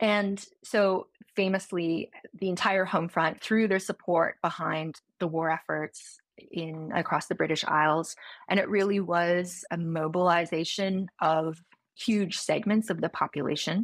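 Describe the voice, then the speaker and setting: Fairly slow and fairly even in intonation, a woman speaks at a fairly low pitch in a Newfoundland accent. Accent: Canadian (Newfoundland). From Newfoundland, Canada. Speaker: history professor. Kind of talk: interview.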